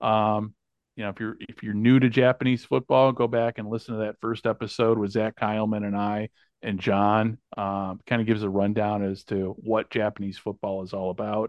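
His pitch sits fairly low for a man. The delivery is flat and monotone. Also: moderate pace. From United States. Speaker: podcast host. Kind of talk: casual chat.

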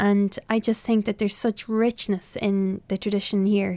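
A woman speaks with an Irish accent in a flat, monotone delivery. The recording is very clean and dry, close-miked with no echo against a silent background. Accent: Irish (Louth). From Ireland, Dundalk, County Louth. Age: young. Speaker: traditional fiddle player. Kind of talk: interview. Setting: small office in a hotel.

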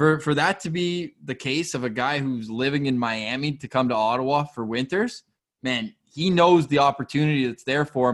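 Moderate tempo and ordinary pitch variation from a man with a normal speaking voice, fairly high for a male. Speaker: sports podcast host. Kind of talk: casual chat.

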